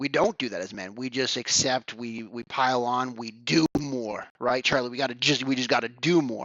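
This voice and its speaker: A man speaks in a plain, everyday voice at a medium pitch and a moderate pace. His intonation stays fairly even, his loudness swings a lot, and he hardly pauses. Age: 40s. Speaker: men's coach. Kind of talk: podcast interview.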